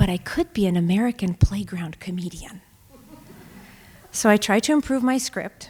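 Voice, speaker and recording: Somewhat breathy speech at a moderate pace, with lively intonation, long, frequent pauses, and a dry, close sound with no echo. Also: woman, medium pitch for a woman. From Russia, moved to US at 10. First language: Russian. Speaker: storyteller. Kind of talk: live storytelling. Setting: stage with audience.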